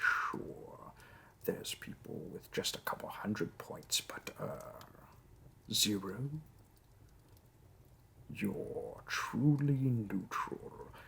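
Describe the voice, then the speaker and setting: Putting on a raspy character voice, a man speaks at a very slow pace with long, frequent pauses. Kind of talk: audio role play. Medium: role play. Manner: polite, businesslike.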